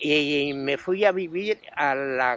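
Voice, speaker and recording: Pitched fairly high, a man talks with normal variation in his pitch. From Madrid, Spain. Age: 80s+. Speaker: oral history interviewee. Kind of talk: interview testimony. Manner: halting.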